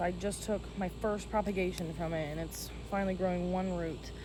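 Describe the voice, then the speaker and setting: A woman speaks over noticeable background noise. The room gives off an audible echo. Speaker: plant content creator. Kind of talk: casual tutorial vlog. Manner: fast.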